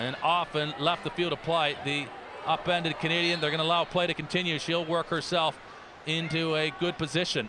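A man speaks in a flat monotone at a fairly quick pace, his voice fairly high in pitch. Noticeable background noise runs beneath him. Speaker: sports commentator. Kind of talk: live commentary.

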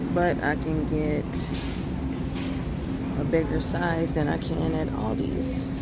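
A woman's voice comes through with loud background noise and a dry sound with no echo. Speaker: vlogger comparing grocery prices. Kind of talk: casual vlog chat. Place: shop. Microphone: phone near.

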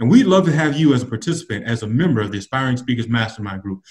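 Over a quiet background, a man talks at a very fast pace in a somewhat breathy voice with very wide pitch swings. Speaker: public speaking coach. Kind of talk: instructional casual chat. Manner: animated. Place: home room. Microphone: webcam.

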